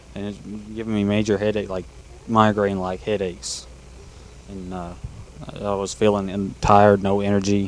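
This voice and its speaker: A man with a Kentucky accent and a fairly low pitch, flat monotone intonation, a moderate pace, long, frequent pauses and big swings in loudness. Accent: Southern US (Kentucky). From Kentucky, Glasgow. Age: young. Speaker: kart racer. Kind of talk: live interview.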